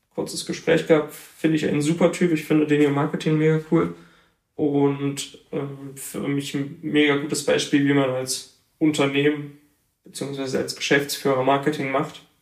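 A man with a normal speaking voice, a moderate pace, and fairly even intonation. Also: fairly high pitch for a man. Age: 20s. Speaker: photographer. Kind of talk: interview.

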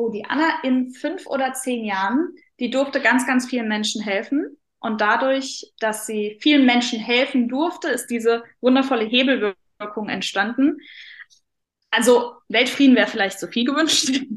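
Here a woman speaks at a fairly slow pace. Her pitch is high. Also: ordinary pitch variation. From Saarland, Germany. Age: 20s. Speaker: mindset coach. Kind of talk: interview.

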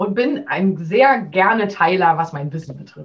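Somewhat breathy, a woman talks at a moderate pace in a medium pitch. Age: 30s. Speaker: business coach for working mothers. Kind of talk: interview.

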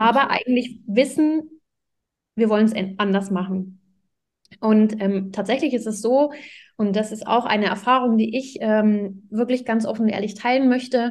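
Moderate pace and ordinary pitch variation in a fairly high, somewhat breathy female voice. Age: 30s. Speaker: parenting coach. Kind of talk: podcast interview.

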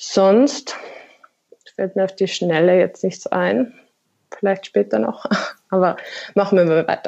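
With lively intonation, a woman speaks at a medium pitch, leaving long, frequent pauses. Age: 20s. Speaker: marketing professional. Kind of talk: interview. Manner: hesitant, many fillers.

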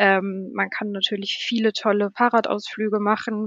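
A woman speaks fairly slowly at a medium pitch with monotone, flat intonation. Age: 30s. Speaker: hotel service manager. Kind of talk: casual interview. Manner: hesitant, many fillers.

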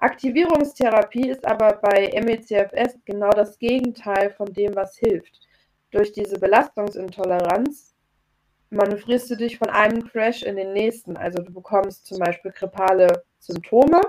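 An ordinary speaking voice from a woman at a fairly slow pace, with ordinary pitch variation and big swings in loudness. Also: medium pitch for a woman. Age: 30s. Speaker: chronic fatigue coach. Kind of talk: interview. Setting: video call. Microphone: poorer Zoom audio.

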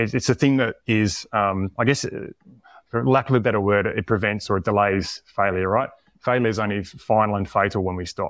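Speaking in an Australian accent, a man talks at a fairly quick pace with ordinary pitch variation and a fairly low pitch. The recording is very clean, with a silent background. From Tasmania, Australia. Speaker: performance coach. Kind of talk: interview conversation.

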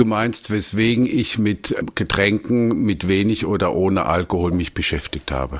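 A man speaks with a fairly low pitch and vocal fry, his pitch rising and falling in an ordinary way. His pace is fairly slow, with hardly any pauses. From Germany, Palatinate (Landau). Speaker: wine merchant and sommelier. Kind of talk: casual interview conversation.

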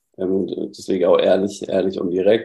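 A man with a southern German accent, a dark, mellow tone and a fairly quick pace. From southern Germany. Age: 20s. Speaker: former coaching client. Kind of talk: casual interview chat.

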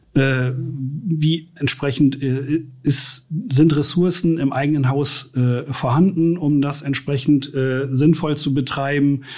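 Somewhat breathy and fairly high-pitched, a man speaks at a very slow pace with fairly even intonation. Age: 50s. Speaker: IT infrastructure and security manager. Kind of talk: interview.

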